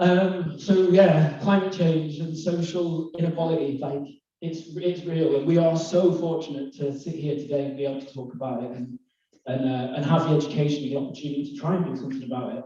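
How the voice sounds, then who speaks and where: A man with a Lancashire accent talks at a fairly quick pace and a fairly high pitch, his intonation fairly even. His loudness swings widely, and the room gives audible echo. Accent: northern English (Lancashire). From northwest England, Lake District / East Lancashire. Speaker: conference speaker, climate and bamboo entrepreneur. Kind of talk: presentation to live audience. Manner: hesitant, many fillers.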